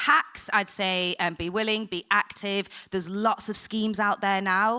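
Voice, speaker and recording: A woman speaks with a strong northern English accent at a medium pitch. Her tone is bright and sharp, and her pace is fairly slow. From northern England, Blackburn. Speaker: TV production professional. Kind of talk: panel discussion. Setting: stage with audience. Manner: casual, animated.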